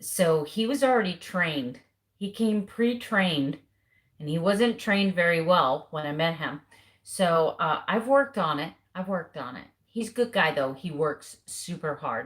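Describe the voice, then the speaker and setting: A woman with an American accent speaks in an animated tone at a moderate pace, her fairly low voice somewhat breathy and her intonation lively. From US South. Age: 50s. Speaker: keto lifestyle vlogger. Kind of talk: casual live stream chat.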